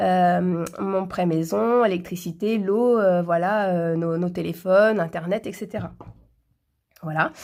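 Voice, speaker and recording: In a very clean recording with a silent background, a woman with a fairly low pitch and ordinary pitch variation talks at a very slow pace. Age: 30s. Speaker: personal finance vlogger. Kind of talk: budget tutorial. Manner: halting, many fillers.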